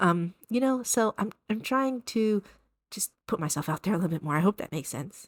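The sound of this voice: A woman's medium-pitched voice with lively intonation, a moderate pace, and a dry, close sound with no echo.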